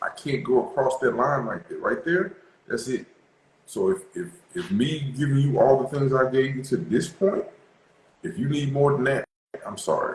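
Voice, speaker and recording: With an American accent, a man talks at a moderate pace in a somewhat breathy, fairly high voice, using lively intonation and long, frequent pauses. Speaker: relationship talk show host. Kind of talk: casual discussion. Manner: animated.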